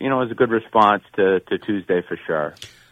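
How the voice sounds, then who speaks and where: At a moderate pace, a man with a fairly low pitch speaks in a plain, everyday voice. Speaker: college baseball coach. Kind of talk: radio interview.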